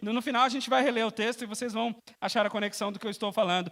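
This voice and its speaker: Very fast and bright, sharp in tone, a man talks with ordinary pitch variation. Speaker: preacher. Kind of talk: sermon.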